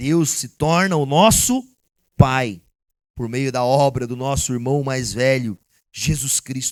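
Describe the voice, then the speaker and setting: On a very clean recording with a silent background, a man of medium pitch speaks at a very slow pace with long, frequent pauses. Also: ordinary pitch variation. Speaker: pastor. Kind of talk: sermon.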